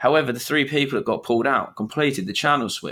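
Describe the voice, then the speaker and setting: On a very clean recording with a silent background, a man with a British accent, a fairly high pitch and a bright, sharp tone speaks at a very fast pace. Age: 20s. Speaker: podcast host. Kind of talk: casual chat.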